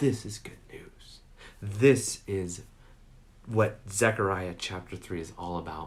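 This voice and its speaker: Amid audible room echo, a man speaks at a very slow pace in a somewhat breathy voice of fairly low pitch, with ordinary pitch variation and big swings in loudness. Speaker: pastor. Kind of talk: sermon.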